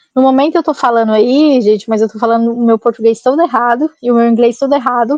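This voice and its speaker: A woman talks at a very fast pace with a high pitch, hardly pausing at all. The sound is dry and close, with no echo. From Goiás, Brazil. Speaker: bicycle traveler. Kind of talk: podcast interview storytelling. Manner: animated.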